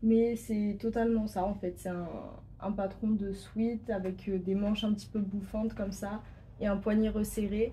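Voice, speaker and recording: With a dark, mellow tone, a woman speaks in a somewhat breathy, medium-pitched voice and fairly even intonation. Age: 20s. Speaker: sewing YouTuber. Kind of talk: casual vlog presentation. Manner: hesitant, many fillers.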